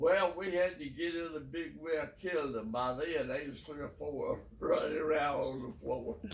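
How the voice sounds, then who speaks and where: Over noticeable background noise, a man with a Southern US accent speaks at a moderate pace and a fairly high pitch. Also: ordinary pitch variation. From South Carolina. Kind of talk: interview answer.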